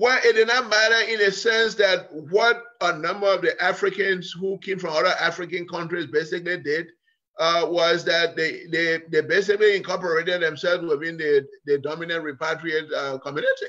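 Against a quiet background, a man talks at a moderate pace with hardly any pauses, using a high pitch and ordinary pitch variation. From Liberia. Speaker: political scientist; guest. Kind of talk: interview. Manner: halting. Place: kitchen. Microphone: video call.

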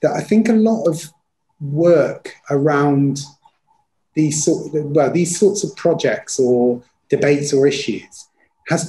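A man's somewhat breathy, dark and mellow voice, fairly high in pitch, with lively intonation at a very slow pace. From Leicester, England; England. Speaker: university dean; presenter. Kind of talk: panel discussion. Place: home room. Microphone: webcam.

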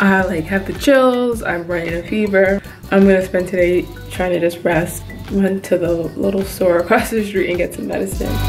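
A woman talks at a moderate pace, with faint music audible in the background. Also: fairly even intonation. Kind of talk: casual vlog chat.

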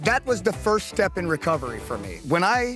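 In an American accent, a man with a high voice speaks at a moderate pace with lively intonation and an enthusiastic tone, the sound dry with no echo and clear music in the background. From Florida. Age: 40s. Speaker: stroke survivor and pro onewheel rider. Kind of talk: interview answer. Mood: earnest, emotional, inspired. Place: open country.

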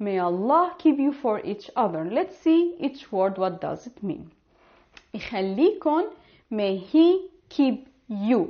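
A woman with a high pitch speaks at a very slow pace over a quiet background. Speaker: Arabic teacher. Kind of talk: language lesson to camera. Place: home room. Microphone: lapel.

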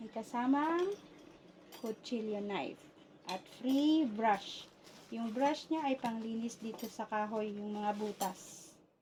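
Very slow speech from a woman, fairly high in pitch and with ordinary pitch variation. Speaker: YouTube vlogger. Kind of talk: unboxing vlog. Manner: animated.

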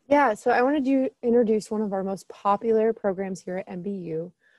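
At a moderate pace and with ordinary pitch variation, a woman speaks in a Midwestern US accent against a quiet background, the sound dry with no echo. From Southern Illinois; Illinois. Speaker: admissions counselor. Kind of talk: informational presentation. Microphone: webcam.

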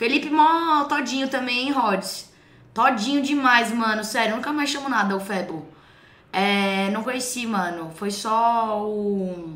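The woman's fairly high pitch and lively intonation unfold at a fairly slow pace. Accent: São Paulo. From São Paulo, Brazil. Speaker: streamer reacting to clips. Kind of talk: casual reaction chat with slang.

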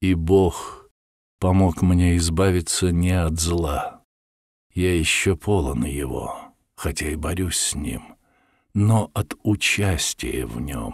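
The speech moves at a very slow pace with long, frequent pauses and ordinary pitch variation on a very clean recording with a silent background. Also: man, very deep, low pitch for a man. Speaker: audiobook narrator. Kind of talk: reading aloud.

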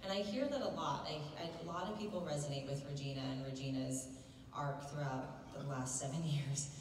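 Amid light background noise and audible room echo, a woman with a very deep, low pitch and ordinary pitch variation talks at a fairly quick pace. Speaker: panel guest actor. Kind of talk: interview answer. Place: hall.

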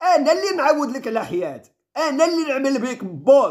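A man with an extremely high pitch speaks in an animated tone at a moderate pace. The background is quiet. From Morocco. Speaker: vlogger. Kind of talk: vlog monologue. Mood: indignant, defiant. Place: home room. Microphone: phone near.

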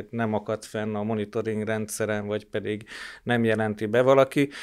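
The recording is very clean, with a silent background. A man speaks at a moderate pace in a flat monotone. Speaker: newsroom editor-in-chief. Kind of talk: formal panel discussion.

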